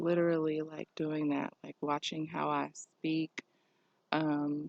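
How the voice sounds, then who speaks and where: A woman talks at a very slow pace. Her very deep, low voice has a monotone, flat intonation. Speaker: spiritual vlogger. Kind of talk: personal vlog monologue. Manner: halting.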